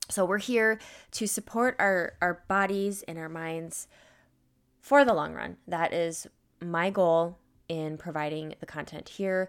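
Her voice is an unremarkable speaking voice, fairly low in pitch, with ordinary pitch variation. The woman speaks at a fairly slow pace in a very clean recording with a silent background. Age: 30s. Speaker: podcast host, nutrition consultant and trainer. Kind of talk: casual solo podcast talk. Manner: conversational, many fillers.

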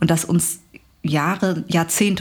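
Against a silent background in a very clean recording, a woman with a fairly low pitch speaks in a somewhat breathy voice with ordinary pitch variation. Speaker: journalist and author. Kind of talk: interview conversation.

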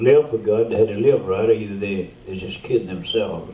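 A man speaks with a Louisiana accent at a moderate pace, his medium pitch carried on fairly even intonation. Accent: Louisiana Southern US. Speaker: veteran preacher. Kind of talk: storytelling testimony.

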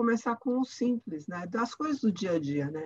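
A woman's fairly high-pitched, unremarkable speaking voice with lively intonation at a moderate pace, in a dry, close sound with no echo. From Brazil. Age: 60s. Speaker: author. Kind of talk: interview conversation. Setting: remote call from England.

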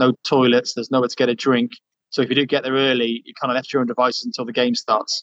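A man at a medium pitch, talking at a very fast pace, in a dry, close sound with no echo. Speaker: journalist reporting from Doha. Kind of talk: casual interview chat. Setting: remote interview from Qatar.

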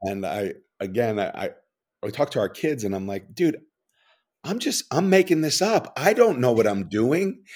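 Speaking with a New York accent, a man uses a fairly high pitch, very wide pitch swings and a moderate pace, broken by long, frequent pauses. The recording is very clean, over a silent background. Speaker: author and funeral home owner. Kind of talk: casual interview chat.

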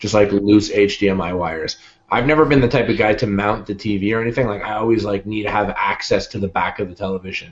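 A man's normal speaking voice with a Canadian accent, fairly low in pitch with ordinary pitch variation, at a fairly quick pace with hardly any pauses. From Canada. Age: 20s. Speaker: YouTube cooking show host. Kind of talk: casual chat.

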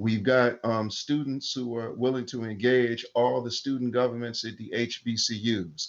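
An unremarkable speaking voice from a man, medium in pitch, fairly slow with hardly any pauses and fairly even intonation. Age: 50s. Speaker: activist. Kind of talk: interview. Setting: remote call.

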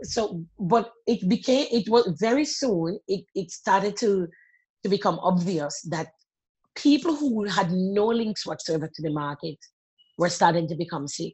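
At a fairly slow pace, a woman with a medium-pitched, somewhat breathy voice speaks with lively intonation. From Jamaica. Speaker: public health doctor. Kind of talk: interview.

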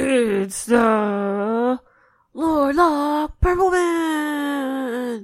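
A female-sounding put-on character voice comes through high in pitch. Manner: booming, dramatic announcer delivery.

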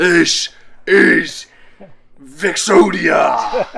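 Shouting in a raspy, put-on character voice, a man sounds high-pitched, his voice raised and projected. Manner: yelling, shouted incantation.

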